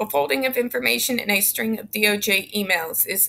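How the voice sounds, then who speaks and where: A woman speaks at a moderate pace in a bright, sharp tone. Vocal fry runs through her voice. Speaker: YouTube commentator. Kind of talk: reading aloud court documents with commentary; reading aloud a legal text with commentary. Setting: home, recording alone. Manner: informal, sarcastic. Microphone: webcam.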